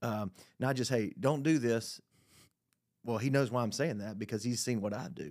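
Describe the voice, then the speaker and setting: Spoken at a moderate pace with ordinary pitch variation, the voice breaks into long, frequent pauses on a very clean recording with a silent background. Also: man, medium pitch for a man. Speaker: parent and panelist. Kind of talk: casual panel discussion. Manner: joking, humorous.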